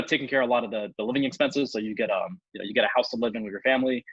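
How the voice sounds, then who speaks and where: A man's medium-pitched voice at a very fast pace. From Ethiopia, Ivory Coast, then US from age ten. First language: Amharic. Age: 30s. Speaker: business analyst with an MBA. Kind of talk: casual interview chat. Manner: many fillers and repetitions.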